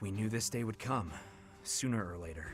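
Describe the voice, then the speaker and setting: A man puts on a character voice, fairly low in pitch, at a moderate pace. Clear music plays in the background. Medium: video game. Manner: calm, composed.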